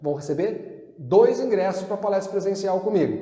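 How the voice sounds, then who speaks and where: A man with a high pitch talks at a moderate pace. Audible room echo and noticeable background noise surround his voice. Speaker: sales trainer. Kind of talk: sales pitch. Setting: online class video.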